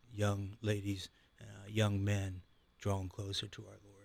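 With monotone, flat intonation, a man speaks in a somewhat breathy voice on a very clean recording with a silent background. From Ohio, Canton area. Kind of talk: casual interview chat.

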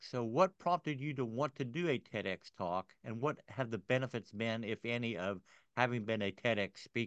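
With an unremarkable speaking voice, a man talks at a moderate pace in a medium pitch with lively intonation and hardly any pauses, in a dry, close sound with no echo over a quiet background. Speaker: podcast host. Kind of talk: interview, conversational.

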